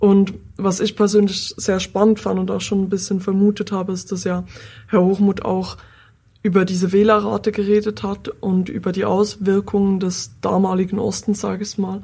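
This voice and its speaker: The woman's voice comes out somewhat breathy. Her intonation is flat and monotone. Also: medium pitch for a woman, moderate pace. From Switzerland. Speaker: podcast host. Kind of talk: scripted narration.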